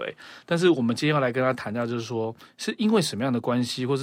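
This man has a plain, everyday voice. His pitch sits at a medium level, and his intonation is lively. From Taiwan. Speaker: podcast guest. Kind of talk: casual chat.

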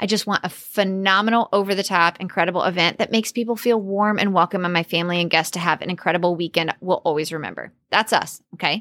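A woman's bright, sharp, animated and energetic voice at medium pitch, with ordinary pitch variation and a very fast pace, in a very clean recording with a silent background and a dry, close sound with no echo. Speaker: podcast host and business coach. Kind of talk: solo podcast episode, business advice. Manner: animated, energetic.

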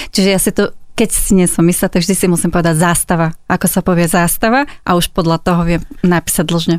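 On a very clean recording with a silent background, a woman with a fairly low pitch talks at a fairly quick pace with very even loudness and fairly even intonation. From Slovakia, Záhorie region. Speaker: copywriter and Slovak language popularizer. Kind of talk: interview.

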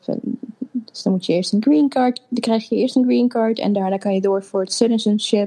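A woman's fairly high, dark and mellow voice at a moderate pace, with ordinary pitch variation. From Netherlands (Apeldoorn), born in Suriname. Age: 30s. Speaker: interviewee, new mother. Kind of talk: personal story in interview. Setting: video call.

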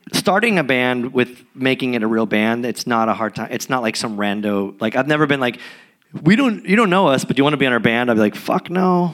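At a fairly quick pace, the speaker uses a normal speaking voice with lively intonation. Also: man. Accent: American. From San Diego, California. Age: 40s. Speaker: punk musician. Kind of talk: live interview. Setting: stage with audience.

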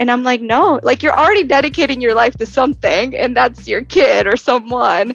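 A high-pitched woman's voice with an American accent, lively intonation, very even loudness and a fairly quick pace, over music in the background. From Texas. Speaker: entrepreneur and founder of a moms' community. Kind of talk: podcast interview.

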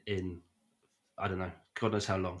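This man has a British accent. His voice is captured on a very clean recording with a silent background. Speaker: podcast host and film fan. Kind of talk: casual chat. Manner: animated.

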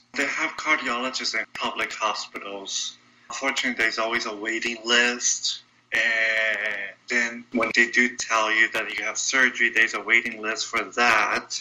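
Noticeable background noise sits behind a man with a medium-pitched voice. He speaks at a moderate pace with monotone, flat intonation. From Brazil, São Paulo. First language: Portuguese. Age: 20s. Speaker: congenital heart defect survivor. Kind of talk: interview.

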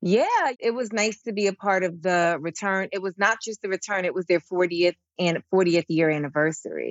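A woman speaks in an energetic tone at a moderate pace, with ordinary pitch variation. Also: medium pitch for a woman. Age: 30s. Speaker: stand-up comedian and actress. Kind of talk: casual chat.

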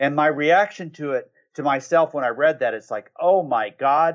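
A man speaks at a moderate pace in a fairly high pitch, with an unremarkable speaking voice. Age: 50s. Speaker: marketing agency consultant and author. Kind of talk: interview.

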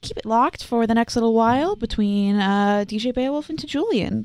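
Here a woman uses an ordinary speaking voice with fairly high pitch. She talks at a fairly quick pace with ordinary pitch variation. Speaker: college radio host. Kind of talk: casual radio interview.

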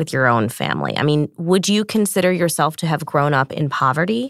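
A woman with an American accent speaks at a very deep, low pitch. The recording is very clean and dry, close with no echo and a silent background. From northern New Jersey, US. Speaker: journalist and podcast host. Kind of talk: interview.

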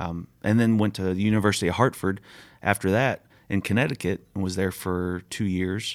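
A man with a very deep, low voice and an American accent, flat and monotone at a moderate pace, on a very clean recording against a silent background. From Virginia, Shenandoah Valley (Harrisonburg). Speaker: baseball scouting director. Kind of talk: interview. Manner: casual, hesitant with many fillers.

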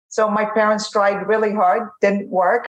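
At a very slow pace, a woman speaks. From Lebanon. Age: 50s. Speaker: tech executive. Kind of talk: interview.

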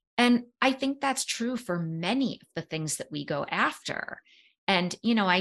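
The tone is bright and sharp, the intonation lively, and the background quiet. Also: woman. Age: 50s. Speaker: psychologist and author. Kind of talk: interview conversation.

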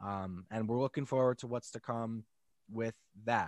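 A man with an unremarkable speaking voice and an American accent at a fairly quick pace, in a very clean recording with a silent background and a dry, close sound with no echo. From New Jersey. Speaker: musical creator and content creator. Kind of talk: casual chat.

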